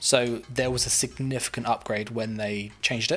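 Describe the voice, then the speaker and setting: Over music in the background, a man with a British accent speaks at a medium pitch with ordinary pitch variation. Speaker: gaming streamer. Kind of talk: live gameplay stream chat. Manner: casual, many fillers.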